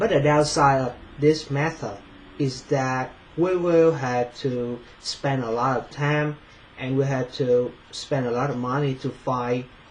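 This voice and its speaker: A man with a non-native accent, medium pitch, fairly even intonation and a fairly slow pace. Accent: non-native English pronunciation. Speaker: finance student. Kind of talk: presentation. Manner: halting, many fillers.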